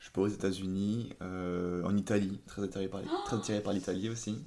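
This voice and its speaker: Speaking at a fairly slow pace, a man uses a fairly low pitch with fairly even intonation. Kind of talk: podcast interview answer.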